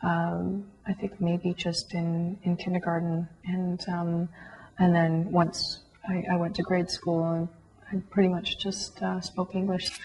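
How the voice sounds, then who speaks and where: Against noticeable background noise, a woman with a Canadian accent speaks very slowly in a fairly low pitch, her intonation monotone and flat. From Canada, Toronto area. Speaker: concert violinist. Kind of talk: interview testimony. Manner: hesitant, many fillers.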